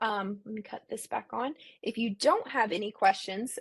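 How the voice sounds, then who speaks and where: At a fairly slow pace, a woman with a fairly high pitch talks in a normal speaking voice, the sound dry and close with no echo. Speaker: education webinar presenter. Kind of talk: webinar presentation. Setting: online webinar.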